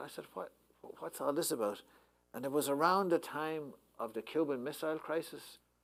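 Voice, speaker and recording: The speaker is a man. He talks in an Irish accent. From Ireland. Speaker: poet and professor. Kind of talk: anecdote told to a live audience. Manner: hesitant, conversational.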